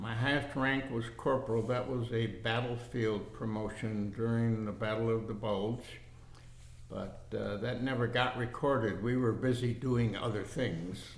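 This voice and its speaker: In an American accent, a man speaks at a fairly slow pace with fairly even intonation, and audible room echo surrounds his voice. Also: medium pitch for a man. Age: 80s+. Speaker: war veteran. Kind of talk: oral history interview.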